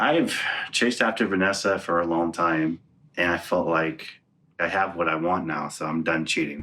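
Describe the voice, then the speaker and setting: Over music in the background, a man speaks at a moderate pace in a very deep, low pitch with fairly even intonation. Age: 30s. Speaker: reality TV participant. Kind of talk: casual chat and confessional interview.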